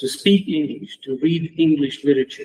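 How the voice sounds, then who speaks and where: A man speaks with a Romanian accent. His tone is dark and mellow. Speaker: academic, former student of the deceased. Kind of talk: memorial tribute speech. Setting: round table event.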